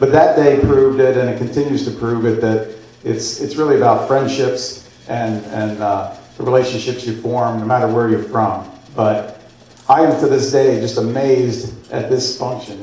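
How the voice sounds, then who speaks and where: Against noticeable background noise and audible room echo, a man speaks at a moderate pace and medium pitch in an American accent with fairly even intonation. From central Pennsylvania. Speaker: guest speaker. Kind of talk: after-dinner speech. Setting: banquet room with audience.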